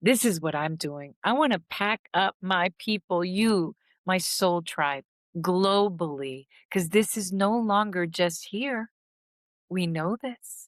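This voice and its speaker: At a very slow pace, a woman speaks with medium pitch and ordinary pitch variation, her voice dry and close with no echo in a very clean recording with a silent background. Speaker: healing and trauma recovery content creator. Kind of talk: motivational talk to viewers.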